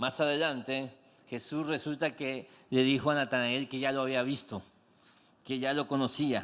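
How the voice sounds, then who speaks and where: The man's pitch is medium. His pace is moderate. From Mexico, Comalcalco, Tabasco. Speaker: pastor. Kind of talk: sermon. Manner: animated.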